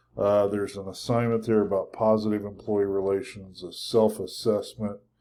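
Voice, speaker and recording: A man's dark, mellow voice in a monotone, flat delivery with big swings in loudness, on a very clean recording with a silent background. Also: fairly low pitch for a man, moderate pace. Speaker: college instructor. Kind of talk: lecture.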